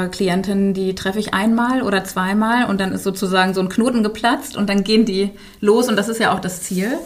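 The speaker is a woman with a medium-pitched voice. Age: 40s. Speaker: business coach. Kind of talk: interview. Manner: hesitant with frequent fillers.

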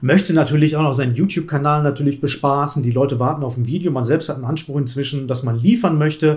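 Somewhat breathy and fairly high-pitched, this man talks at a very fast pace with ordinary pitch variation. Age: 50s. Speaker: chess YouTuber and streamer. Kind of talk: casual chat.

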